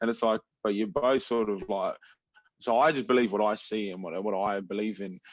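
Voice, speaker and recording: Speaking at a fairly quick pace, a man with an Australian accent uses a fairly low pitch and ordinary pitch variation. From Adelaide, South Australia. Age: 20s. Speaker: MMA fighter. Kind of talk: casual chat. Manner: animated.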